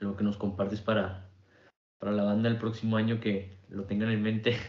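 A man's medium-pitched, monotone voice with a Mexican accent, flat intonation, a moderate pace and audible room echo. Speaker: podcast host. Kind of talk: casual interview.

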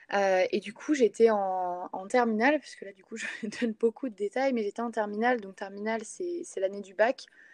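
A woman with a fairly high pitch talks at a moderate pace in an ordinary speaking voice, with ordinary pitch variation, big swings in loudness, and a dry, close sound with no echo. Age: 20s. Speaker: sports coach. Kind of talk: casual interview.

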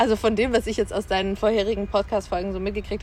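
Very fast in pace, a woman talks at a medium pitch. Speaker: podcast guest. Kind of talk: casual chat. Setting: outdoors.

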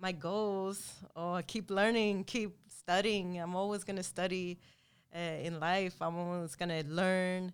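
A woman with an unremarkable speaking voice talks at a fairly slow pace in a medium pitch, her intonation fairly even, on a very clean recording with a silent background. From Sweden (Lund, far south), Latin American parents. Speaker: boxing champion and fitness trainer. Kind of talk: interview. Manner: frequent laughter.

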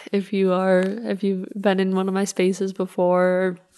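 The woman's intonation stays monotone and flat. Her voice sits at a medium pitch. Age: 30s. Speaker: podcast host, coach. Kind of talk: solo podcast monologue. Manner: chatty, laughing.

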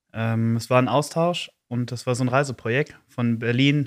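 Recorded very cleanly against a silent background, a man uses a plain, everyday voice at a medium pitch, with ordinary pitch variation at a moderate pace. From East Belgium (German-speaking Community). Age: 20s. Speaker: youth council chair. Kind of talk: podcast interview.

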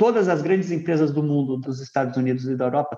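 Fairly high in pitch, a man talks in a normal speaking voice at a fairly quick pace. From Rio de Janeiro, raised in São Paulo. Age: 40s. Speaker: climate tech founder and CEO. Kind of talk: remote podcast interview. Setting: recording remotely from home.

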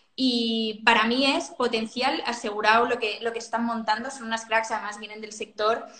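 A woman talks with fairly high pitch and fairly even intonation, barely pausing at all. Her loudness swings widely, and there is noticeable background noise. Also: moderate pace. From Catalonia, Spain (Sant Cugat). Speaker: fashion brand co-founder. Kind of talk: interview. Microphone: echo in room.

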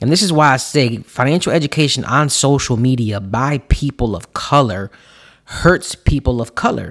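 In a very clean recording with a silent background, a man speaks at a moderate pace with medium pitch and lively intonation in a plain, everyday voice. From US, Puerto Rican family. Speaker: financial coach podcast host. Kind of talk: solo podcast monologue.

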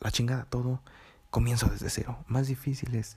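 With a Mexican accent, a man speaks at a moderate pace and medium pitch, his tone dark and mellow and somewhat breathy. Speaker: taquería worker and student. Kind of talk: personal audio diary. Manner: halting.

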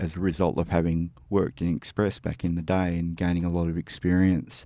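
With an Australian accent, a man speaks at a fairly quick pace. His voice is very deep and low, with a dark, mellow tone. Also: quiet background. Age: 50s. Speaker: music magazine editor and reviewer. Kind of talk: interview. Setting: studio.

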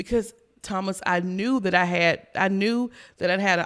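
With an American accent, a woman speaks at a moderate pace in an unremarkable speaking voice, her pitch medium and its variation ordinary, on a very clean recording with a silent background. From South Carolina. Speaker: insurance agency manager. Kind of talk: interview.

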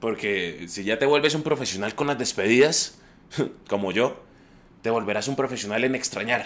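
A man speaks in a normal speaking voice at a medium pitch. His pace is moderate, and his pitch variation is ordinary. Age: 30s. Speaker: traveling painter sharing reflections. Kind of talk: scripted personal monologue. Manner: reflective.

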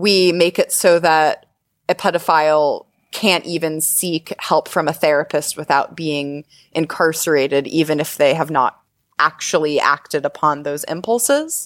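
A woman talks in an unremarkable speaking voice with a fairly low pitch and fairly even intonation. Her pace is fairly slow, and the recording is very clean with a silent background. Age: 20s. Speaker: sex educator and shop owner. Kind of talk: interview, casual chat.

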